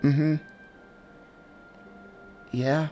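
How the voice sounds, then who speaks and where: Over clear music in the background, a man mumbles in a put-on character voice with a fairly high pitch. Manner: mumbling, muttering.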